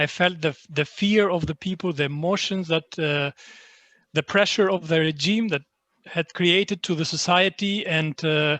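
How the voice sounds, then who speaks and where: A man with an Albanian accent speaks at a moderate pace in a high, bright, sharp voice with fairly even intonation. The sound is dry and close, with no echo. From Greece, born in Albania. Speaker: literary translator. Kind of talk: online panel talk. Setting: online event. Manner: halting, many fillers.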